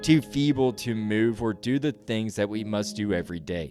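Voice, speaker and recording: Moderate-paced speech from a man with a fairly low pitch, music playing behind him. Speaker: podcast host, audiobook narrator. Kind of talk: ghost story narration.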